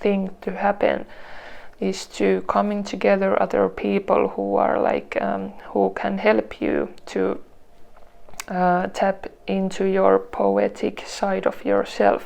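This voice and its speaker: A woman speaks with a non-native accent at a very slow pace. Noticeable background noise can be heard. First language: not English. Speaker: tarot reader. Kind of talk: tarot reading to camera. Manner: halting, many restarts and fillers.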